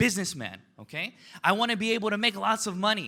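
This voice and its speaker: At a moderate pace, a man projects a raised voice with an animated, bright, sharp tone and ordinary pitch variation on a very clean recording with a silent background. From United States, Korean immigrant family. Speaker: motivational business speaker. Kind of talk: motivational speech.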